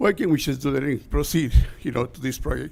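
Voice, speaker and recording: Here a man speaks at a fairly quick pace with a fairly high pitch. Vocal fry runs through his voice. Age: 60s. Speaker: construction worker at public comment. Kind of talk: public comment speech. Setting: city council meeting. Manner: impassioned.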